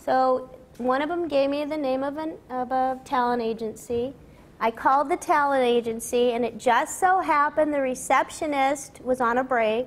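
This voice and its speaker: Speaking at a moderate pace, a woman with an American accent uses fairly even intonation at a high pitch. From Los Angeles, US. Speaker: voice actress. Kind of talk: interview before an audience. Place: studio.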